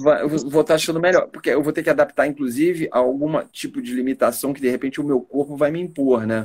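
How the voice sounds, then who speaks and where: A man's very fast delivery with hardly any pauses. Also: fairly high pitch for a man, ordinary pitch variation. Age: 60s. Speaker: stage actor. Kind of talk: interview.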